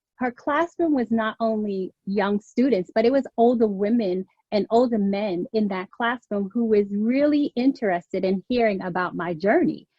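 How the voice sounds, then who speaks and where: A woman speaks at a fairly slow pace with a slight New York accent, her pitch fairly high and its variation ordinary. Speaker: image consultant and career coach. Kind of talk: interview.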